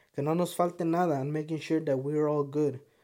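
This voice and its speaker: The speaker has a Spanish accent. The recording is very clean, with a silent background. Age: 20s. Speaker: podcast host. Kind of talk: casual monologue. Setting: home studio.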